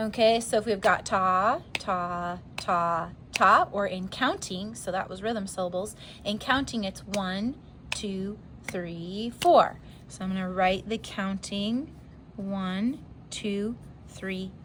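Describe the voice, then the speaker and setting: A woman at a medium pitch, with fairly even intonation and big swings in loudness, at a very slow pace amid audible room echo. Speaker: music teacher. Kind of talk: lecture.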